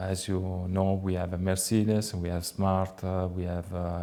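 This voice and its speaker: A man's very deep, low voice with an Italian accent, dark and mellow in tone, monotone with flat intonation, at a fairly slow pace. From Italy, Tuscany. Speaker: car dealership manager. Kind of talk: interview. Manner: hesitant with frequent fillers.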